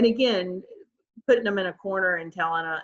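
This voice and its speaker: A woman with an ordinary speaking voice talks at a fairly quick pace in a fairly low pitch, with ordinary pitch variation. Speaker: licensed professional counselor. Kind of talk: webinar presentation.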